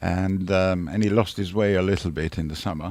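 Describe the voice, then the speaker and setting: Fairly quick in pace, a man speaks with fairly even intonation. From Italy, Milan. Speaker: racehorse trainer. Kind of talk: radio interview. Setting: radio studio.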